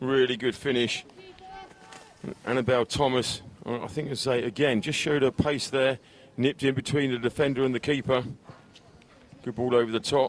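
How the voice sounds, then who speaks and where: A man with an English accent speaks at a fairly quick pace in a monotone, flat intonation at medium pitch, with long, frequent pauses and noticeable background noise. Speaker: football commentator. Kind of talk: live commentary with interview. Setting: live stream at a football pitch.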